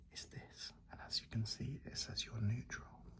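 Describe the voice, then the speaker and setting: A man is speaking. He whispers. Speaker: ASMR content creator playing a running shop assistant. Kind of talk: ASMR roleplay. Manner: soft-spoken, whispered.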